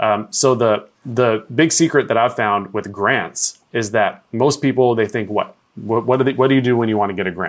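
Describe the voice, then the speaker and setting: With an American accent, a man uses an unremarkable speaking voice at medium pitch, ordinary pitch variation and a moderate pace, with hardly any pauses. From Portland, Oregon (US West Coast). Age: 30s. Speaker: speaker and entrepreneur coach. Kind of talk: interview.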